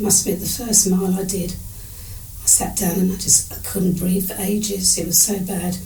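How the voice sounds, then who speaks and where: Noticeable background noise and audible room echo fill the space. A woman speaks at a moderate pace with monotone, flat intonation. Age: 70s. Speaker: age-group triathlete. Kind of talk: interview storytelling. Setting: at home, face-to-face interview.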